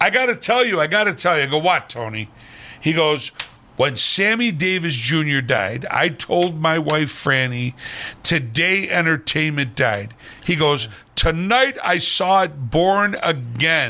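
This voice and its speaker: Speaking at a fairly slow pace with very wide pitch swings, the voice comes through noticeable background noise. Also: man, fairly high pitch for a man. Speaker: entertainer. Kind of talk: casual chat. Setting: studio.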